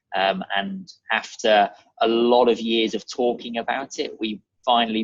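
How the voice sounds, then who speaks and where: A man with a British accent, medium pitch and fairly even intonation. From Germany (Munich) and England (near Reading). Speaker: real estate advisor. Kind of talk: podcast interview.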